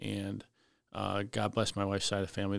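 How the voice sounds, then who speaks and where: In a Chicago accent, a man speaks at a fairly low pitch. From Cicero, Illinois (Chicago area). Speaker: fire lieutenant. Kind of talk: casual interview storytelling.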